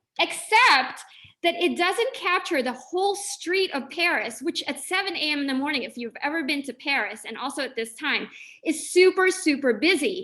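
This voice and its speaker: A woman with an American accent projects a raised voice at a high pitch, with a bright, sharp tone. Her pitch swings very widely. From Philippines, then Los Angeles. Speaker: visiting artist and educator. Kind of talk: lecture. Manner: casual, conversational.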